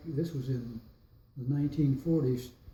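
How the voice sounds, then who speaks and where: With an American accent, a man talks at a fairly slow pace in a fairly high, somewhat breathy voice with a dark, mellow tone and monotone, flat intonation. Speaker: World War II veteran. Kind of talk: interview answer. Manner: hesitant, rambling.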